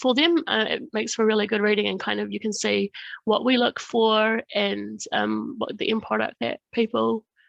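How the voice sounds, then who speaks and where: A woman with a New Zealand accent speaks at a moderate pace in a dry, close recording with no echo and a quiet background. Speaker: government research fund staff presenter. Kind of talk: online workshop presentation. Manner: hesitant, many fillers.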